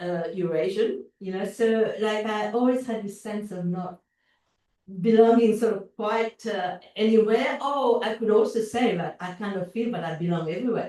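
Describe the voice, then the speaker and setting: A woman with a strong Mauritian accent speaks in a fairly high pitch with a dark, mellow tone. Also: ordinary pitch variation, moderate pace. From Mauritius. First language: French. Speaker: visual artist. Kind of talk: interview. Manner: halting, many fillers and repetitions.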